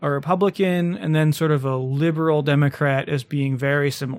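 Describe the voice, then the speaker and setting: An ordinary speaking voice delivers the words with fairly even intonation. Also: man. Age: 30s. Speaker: podcast host. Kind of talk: casual chat.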